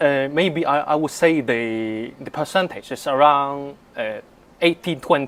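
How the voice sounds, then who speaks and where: A man speaks at a fairly slow pace in a fairly high voice with ordinary pitch variation. His loudness swings widely on a very clean recording with a silent background. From Hong Kong. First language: Cantonese. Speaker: polyglot language learner. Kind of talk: interview. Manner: halting, with fillers.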